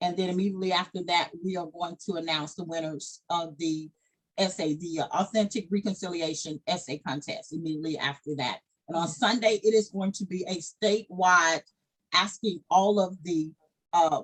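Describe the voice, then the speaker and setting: A woman with a Southern US accent, a fairly low pitch, ordinary pitch variation and a moderate pace. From US South, Arkansas Delta. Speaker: founder and director of a descendants' organization. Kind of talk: casual chat.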